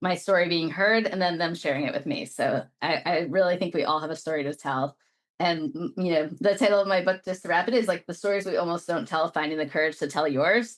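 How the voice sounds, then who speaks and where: Someone with an American accent talks in an ordinary speaking voice at a fairly quick pace, with lively intonation and hardly any pauses. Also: woman, fairly low pitch for a woman. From Brooklyn, New York. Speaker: lawyer and executive coach, author. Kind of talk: interview.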